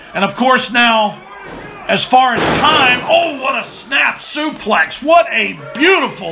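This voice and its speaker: A man's raised, projected voice at an extremely high pitch and very slow pace, with music in the background. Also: lively intonation. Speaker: wrestling commentator. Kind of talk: play-by-play wrestling commentary.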